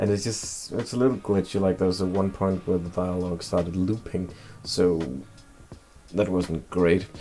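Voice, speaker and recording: Music plays behind a man whose very deep, low voice moves at a moderate pace with fairly even intonation. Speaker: YouTuber game reviewer. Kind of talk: casual game review.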